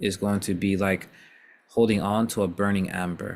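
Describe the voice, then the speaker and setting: In an American accent, a man with a normal speaking voice talks at a fairly low pitch with fairly even intonation. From US, not New York. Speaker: Islamic teacher. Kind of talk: informal religious discussion.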